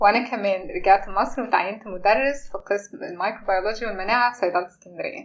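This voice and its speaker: This woman has a plain, everyday voice, medium in pitch with ordinary pitch variation, moving at a fairly quick pace with hardly any pauses. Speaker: pharmacy lecturer and podcast co-host. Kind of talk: scripted introduction.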